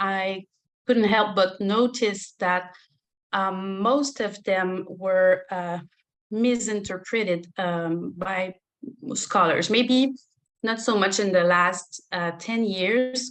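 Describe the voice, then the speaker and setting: In a French accent, the speaker talks at a very slow pace with fairly even intonation. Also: woman, quiet background. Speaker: religion scholar. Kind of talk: lecture. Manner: halting, many fillers.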